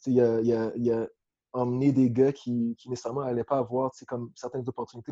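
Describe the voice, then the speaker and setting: Flat and monotone, a man speaks at a moderate pace in a dark, mellow tone. The sound is dry and close, with no echo. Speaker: football coach. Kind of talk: interview.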